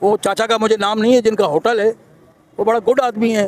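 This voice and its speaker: Moderate pace and high pitch from a man, with noticeable background noise. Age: 60s. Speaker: street interviewee. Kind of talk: street interview.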